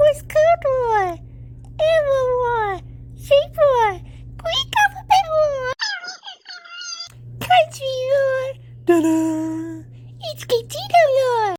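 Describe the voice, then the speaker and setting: A squeaky, extremely high cartoonish character voice at a very slow pace, broken by long, frequent pauses. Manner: excited.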